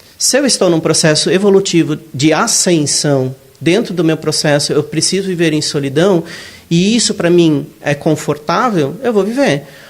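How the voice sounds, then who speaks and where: A man talks at a high pitch and a fairly slow pace with lively intonation. His loudness stays very even over noticeable background noise. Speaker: spiritist lecturer. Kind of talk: lecture.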